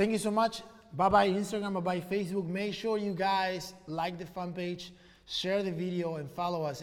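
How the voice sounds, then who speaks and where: A man with a non-native accent and a high pitch, fairly even intonation and a moderate pace, in audible room echo. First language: not English. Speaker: e-commerce entrepreneur and live stream host. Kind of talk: casual live stream chat. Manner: casual, with many fillers.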